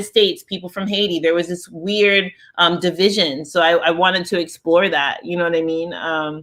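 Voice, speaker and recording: A woman's normal speaking voice with an American accent, fairly low in pitch, fairly even intonation at a moderate pace, in a very clean recording with a silent background. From Nigeria and the US. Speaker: head of a diaspora organization. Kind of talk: interview conversation. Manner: casual, filler-heavy.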